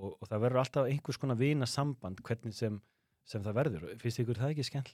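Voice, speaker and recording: In a very clean recording with a silent background and a dry, close sound with no echo, a man uses an ordinary speaking voice at medium pitch with ordinary pitch variation. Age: 40s. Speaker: podcast host. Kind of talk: casual chat.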